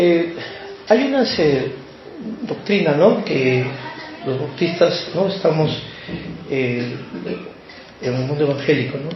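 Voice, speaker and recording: The man's pitch is fairly high, with ordinary variation, and his pace is very slow. Noticeable background noise and audible room echo fill the recording. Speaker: lay preacher. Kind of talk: sermon. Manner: hesitant, many fillers.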